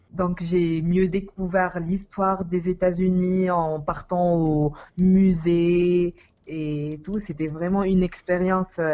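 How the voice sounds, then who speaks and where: Very slowly and in a flat monotone, a woman speaks with a fairly low pitch and a dark, mellow tone. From Tunisia. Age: 20s. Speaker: university student. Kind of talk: interview. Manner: halting.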